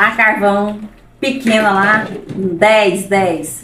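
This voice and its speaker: A woman speaks with a fairly high pitch. Light background noise and audible room echo surround her voice. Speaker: vlogger. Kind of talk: casual chat with friends. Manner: talkative. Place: kitchen. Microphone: camera far.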